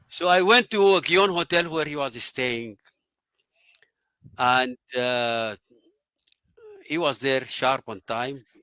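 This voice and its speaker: With a Sudanese accent, a man at medium pitch speaks at a fairly slow pace in a bright, sharp tone, the sound dry and close with no echo. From Sudan, Omdurman. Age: 80s+. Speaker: engineer and water advisor. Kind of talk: interview storytelling.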